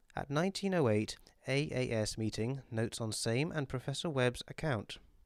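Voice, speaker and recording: A speaker with a British accent talks at a moderate pace on a very clean recording with a silent background. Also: man. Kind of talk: audiobook reading.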